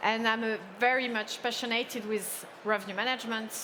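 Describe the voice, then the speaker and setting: At a moderate pace, a woman with a French accent speaks in a fairly high pitch with fairly even intonation. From France. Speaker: hospitality lecturer. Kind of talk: panel discussion.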